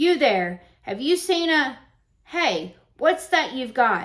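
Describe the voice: Putting on a gruff character voice, a woman talks fairly slowly at a high pitch with very wide pitch swings.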